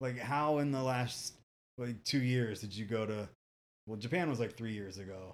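A man speaks at medium pitch and a moderate pace in a plain, everyday voice. His pitch varies in an ordinary way. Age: 40s. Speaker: podcast host. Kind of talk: casual chat.

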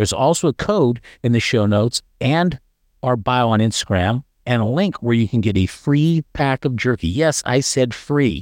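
With an ordinary speaking voice at medium pitch, a man talks at a moderate pace with lively intonation and very even loudness, recorded dry and close with no echo on a very clean track with a silent background. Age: 60s. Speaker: podcast host. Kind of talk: casual interview chat.

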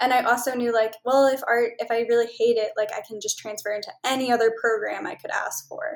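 Fairly high in pitch, a woman with an American accent and an unremarkable speaking voice talks at a moderate pace. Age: 20s. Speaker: travel consultant and creative director. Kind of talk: casual interview.

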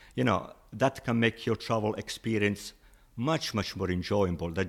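In a very clean recording with a silent background, a man with an Italian accent speaks at a moderate pace, his fairly low voice showing ordinary pitch variation. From Italy. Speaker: language teacher. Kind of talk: interview.

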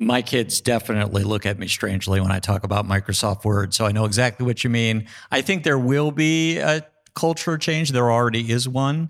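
A plain, everyday voice from a man with an American accent, medium in pitch, fairly quick and with lively intonation, on a very clean recording with a silent background. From New York. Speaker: law school dean. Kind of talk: panel discussion. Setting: stage with audience.

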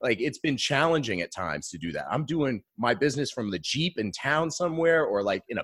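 A fairly high-pitched man with an American accent and vocal fry, fairly quick, with very wide pitch swings. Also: very clean recording, silent background. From Maine, US. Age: 30s. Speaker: business coach. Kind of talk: casual interview chat.

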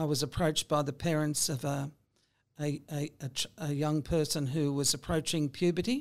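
In an Australian accent, a woman talks at a moderate pace with a very deep, low pitch and fairly even intonation. The recording is very clean, with a silent background. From Sydney, Australia. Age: 60s. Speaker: lawyer. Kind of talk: interview.

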